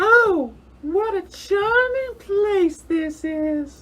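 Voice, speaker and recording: A woman puts on a squeaky character voice at an extremely high pitch, speaking very slowly with lively intonation. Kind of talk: old-time radio mystery acting. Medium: audio drama.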